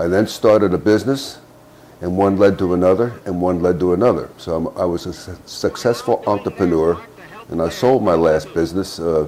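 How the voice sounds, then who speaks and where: Against noticeable background noise, a man with an American accent talks at a fairly quick pace in a very deep, low pitch. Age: 70s. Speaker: retired army officer. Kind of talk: political commentary monologue. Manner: halting.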